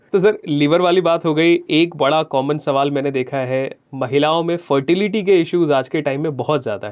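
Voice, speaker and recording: In a normal speaking voice, a man talks at a moderate pace with hardly any pauses and ordinary pitch variation. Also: fairly high pitch for a man. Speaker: radio jockey. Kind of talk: radio interview host questions.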